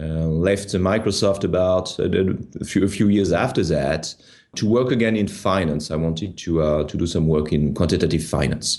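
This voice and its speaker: The speaker has a strong French accent and keeps a very even loudness at a moderate pace. The background is quiet. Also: man, very deep, low pitch for a man, ordinary pitch variation. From France. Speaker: tech startup founder. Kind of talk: interview. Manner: hesitant, many fillers and repeats.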